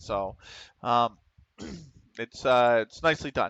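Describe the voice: A man with a Pennsylvania accent at a slow pace, medium in pitch, with a clear, smooth, fairly bright tone, lively intonation, and a dry, close sound with no echo. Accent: Pennsylvania American.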